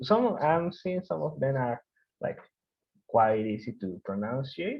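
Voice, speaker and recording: A man at a medium pitch with a strong Mexican accent and very wide pitch swings. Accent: heavy Mexican Spanish. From Mexico. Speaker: developer course instructor. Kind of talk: online course lecture. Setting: video call. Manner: hesitant, many fillers; deliberately slow.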